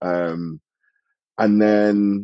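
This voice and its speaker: This man speaks with a British accent. His intonation is monotone and flat. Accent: UK. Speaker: sales and operations director. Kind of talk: interview answer.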